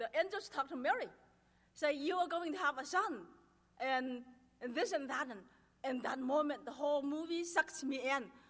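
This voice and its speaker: In a nervous, excited tone, a woman with a strong Chinese accent speaks at a moderate pace in a high voice. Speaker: churchgoer giving testimony. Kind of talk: testimony. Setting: church.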